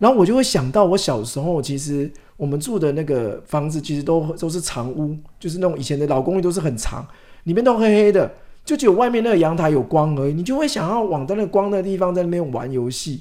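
Very fast and lively in intonation, this man speaks at a high pitch. His tone is dark and mellow. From Taiwan, Changhua. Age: 40s. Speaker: author. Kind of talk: interview.

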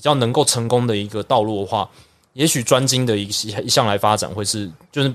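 The speaker has a Taiwanese accent. The pitch varies in an ordinary way. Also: man. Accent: Taiwanese Mandarin. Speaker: baseball broadcaster. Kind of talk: casual interview.

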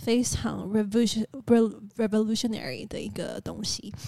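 The woman is soft-spoken. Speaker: podcast co-host. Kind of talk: casual chat. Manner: quiet, soft-spoken.

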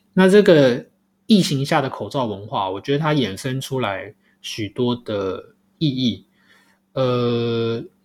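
The recording is very clean, with a silent background. A man speaks at a very slow pace with a medium pitch and lively intonation. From Taiwan. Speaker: podcast host. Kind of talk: solo podcast commentary. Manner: hesitant, many filler sounds.

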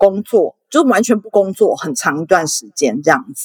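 A woman speaks in a plain, everyday voice at medium pitch and a moderate pace. Her intonation is lively, and the sound is dry and close with no echo. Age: 30s. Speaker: former sex worker and volunteer activist. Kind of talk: interview.

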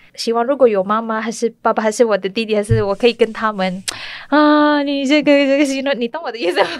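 Noticeable background noise surrounds a woman who talks at a fairly quick clip. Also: ordinary pitch variation. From Malaysia, Kuala Lumpur. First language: Malay (speaking Chinese). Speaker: restaurant owner. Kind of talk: interview. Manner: halting, hesitant.

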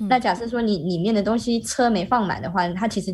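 A woman speaks at a medium pitch with a somewhat breathy voice. Her pace is fairly quick and her intonation fairly even. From Malaysia. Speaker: Malaysian expat living in Shanghai. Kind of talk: casual interview chat. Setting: video call.

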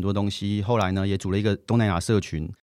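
On a very clean recording with a silent background, a man speaks. He talks at a very fast pace. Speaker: author and entrepreneur. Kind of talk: interview.

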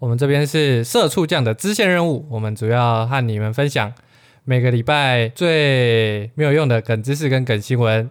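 At a moderate pace, a man with a medium pitch speaks with very even loudness and ordinary pitch variation. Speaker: podcast co-host. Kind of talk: casual chat.

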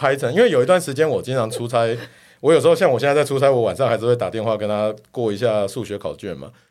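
On a very clean recording with a silent background, a man talks very fast with a strong Taiwanese accent. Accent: thick Taiwanese Mandarin. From Taiwan, Kaohsiung. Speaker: tech company executive. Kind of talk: casual interview chat.

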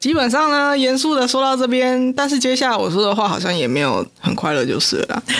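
In a Taiwanese accent, the speaker goes at a fairly quick pace with hardly any pauses. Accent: Taiwanese Mandarin. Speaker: podcast co-host. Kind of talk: casual chat.

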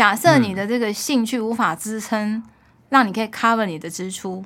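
On a very clean recording with a silent background, a woman with a plain, everyday voice speaks at a moderate pace, her pitch fairly high and her pitch variation ordinary. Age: 50s. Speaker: food importer and mother of three. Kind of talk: casual chat.

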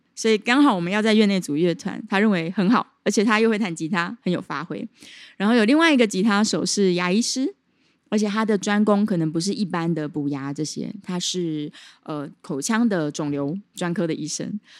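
A woman's medium-pitched, normal speaking voice at a moderate pace, with lively intonation, in a very clean recording with a silent background. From Taiwan, Chiayi. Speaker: jazz singer and pharmacist. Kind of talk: casual interview. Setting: jazz bar.

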